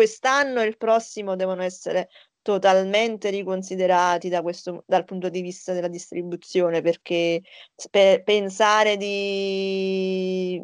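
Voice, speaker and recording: A woman talks at a fairly slow pace in a monotone, flat intonation. The sound is dry and close, with no echo. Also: medium pitch for a woman. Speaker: podcast co-host. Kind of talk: casual chat.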